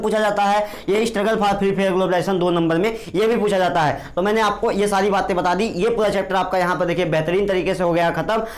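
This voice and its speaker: There is audible room echo and noticeable background noise around a man speaking at a high pitch. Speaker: teacher. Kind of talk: lecture. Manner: halting.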